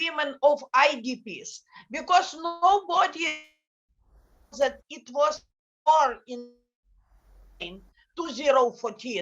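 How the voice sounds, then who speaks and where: Speaking with a non-native accent, a woman uses a high pitch and a bright, sharp tone at a very slow pace, with ordinary pitch variation, big swings in loudness and long, frequent pauses. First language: Ukrainian. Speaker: NGO director. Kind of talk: panel talk. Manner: halting. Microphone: bad connection.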